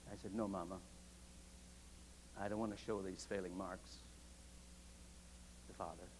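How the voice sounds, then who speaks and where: A man with a very deep, low voice and vocal fry talks at a moderate pace, his pitch swinging very widely. He leaves long, frequent pauses. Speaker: preaching professor delivering a sermon. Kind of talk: sermon delivered to a seminary congregation. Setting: chapel, live congregation.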